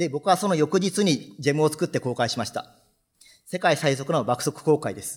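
A man speaks at a moderate pace with fairly high pitch and lively intonation. His voice is somewhat breathy over a quiet background. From Japan, Fukuoka; Japan. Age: 30s. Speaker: software developer; conference speaker. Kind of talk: conference talk. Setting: stage with audience. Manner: formal. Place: hall.

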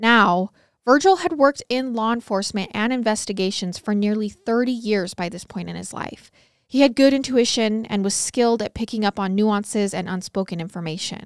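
A woman with a fairly high voice speaks at a moderate pace in a serious tone, her pitch varying in an ordinary way and her loudness swinging widely, recorded dry with no echo against a quiet background. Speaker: true crime podcast host. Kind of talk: true-crime narration, read aloud from case notes in a steady storytelling voice. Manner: serious, even-paced, measured storytelling. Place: studio. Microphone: studio mic.

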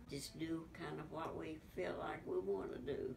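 The voice belongs to a woman. Some light noise sits behind her. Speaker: interviewee. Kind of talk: interview answer. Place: home room.

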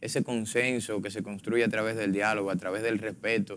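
A man talks in a monotone with flat intonation. His pitch is fairly low. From Dominican Republic. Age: 20s. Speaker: politician, congressional pre-candidate; politician, candidate. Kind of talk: political panel debate. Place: studio. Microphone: lapel.

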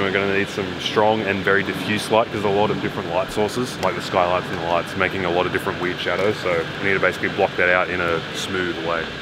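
Very fast speech from a man comes through loud background noise. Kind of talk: casual vlog chat. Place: hall. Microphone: camera far.

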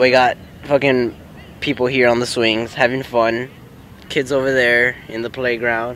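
There's little pitch movement as this man talks. He speaks at a fairly slow pace. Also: medium pitch for a man, fairly bright tone.

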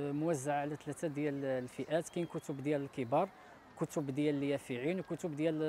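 A man with a Moroccan accent, fairly high in pitch, dark and mellow in tone, with fairly even intonation and a fairly quick pace, in dry sound with no echo and light background noise. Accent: Moroccan Darija. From Morocco. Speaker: beach library organizer. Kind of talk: interview. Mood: friendly, proud. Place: beach. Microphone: lapel.

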